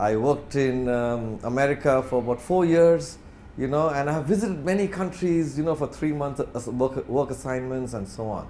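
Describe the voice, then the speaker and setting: A man's dark, mellow voice, fairly high in pitch, with ordinary pitch variation and audible room echo. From India, Bangalore. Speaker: corporate executive, guest speaker. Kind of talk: lecture. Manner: fast.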